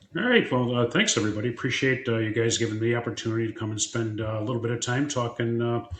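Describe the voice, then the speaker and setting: A man with an American accent talks very fast at a medium pitch, monotone and flat, with hardly any pauses, over noticeable background noise. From Illinois, suburban Chicago. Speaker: retired fire chief. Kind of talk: podcast interview. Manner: many fillers (uh, you know).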